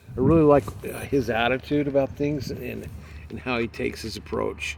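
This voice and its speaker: Moderately paced speech from a man with an American accent, noticeable background noise around it. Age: 50s. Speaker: travel vlogger. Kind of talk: casual vlog monologue. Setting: outdoors in a side by side vehicle. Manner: halting, many fillers.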